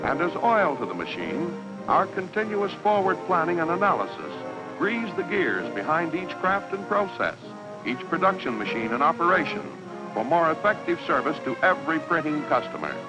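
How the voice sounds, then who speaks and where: Background music plays throughout. Over it, a man talks at a moderate tempo. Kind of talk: corporate documentary narration.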